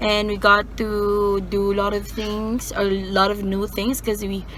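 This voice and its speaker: Over noticeable background noise, a woman talks with a Visayan Filipino accent. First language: Bisaya (Cebuano). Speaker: vlogger. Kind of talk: casual vlog talk. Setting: in a car.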